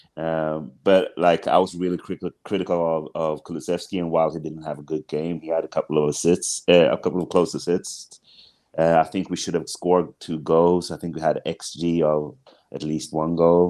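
Very deep, low male voice with a dark, mellow tone, flat monotone delivery, moderate pace and a quiet background. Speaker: podcast guest. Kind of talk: casual football discussion. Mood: thoughtful, analytical. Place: home room. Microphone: earbuds.

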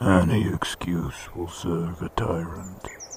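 A man's very deep, low voice comes out at a very slow pace. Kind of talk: dark fable narration. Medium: short film.

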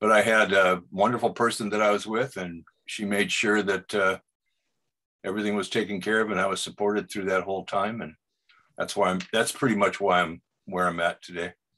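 A man's fairly low, bright and sharp voice with an American accent, quick-ish in pace and flat in intonation, against a quiet background. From US Pacific Northwest, Seattle. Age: 70s. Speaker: portrait artist and Vietnam veteran; guest. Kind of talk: casual interview. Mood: calm, reflective. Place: home room. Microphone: video call.

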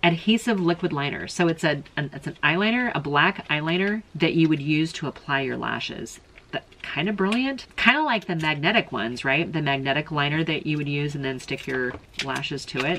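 A woman's very deep, low pitch with lively intonation at a fairly quick pace, plus light background noise. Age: middle-aged. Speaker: beauty YouTuber. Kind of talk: casual product review unboxing. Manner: casual, halting with repeated words. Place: home room. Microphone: phone near.

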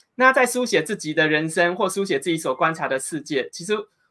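Quiet surroundings and a man going at a fairly quick pace. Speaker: interviewer. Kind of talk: interview. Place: home room.

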